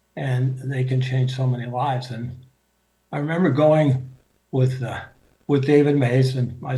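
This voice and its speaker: A man in an American accent, medium in pitch, dark and mellow, somewhat breathy, flat and monotone, with audible room echo. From US Midwest, Grosse Pointe, Michigan. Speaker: speaker sharing faith journey. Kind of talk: personal testimony talk. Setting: video call. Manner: halting, many fillers.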